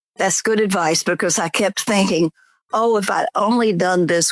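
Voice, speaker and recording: A woman with a Southern US accent talks at a moderate pace with ordinary pitch variation. The recording is very clean, with a silent background. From US South, Georgia. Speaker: memoir author. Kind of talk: interview.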